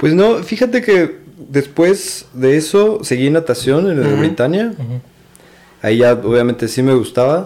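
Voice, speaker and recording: A man's fairly high pitch with very wide pitch swings, a dark, mellow tone and a moderate pace. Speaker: triathlete. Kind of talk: casual chat.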